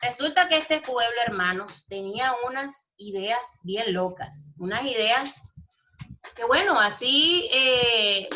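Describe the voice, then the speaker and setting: Her intonation is lively, and this woman's voice sits fairly high in pitch. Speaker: Bible school teacher. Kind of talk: online lecture. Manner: animated.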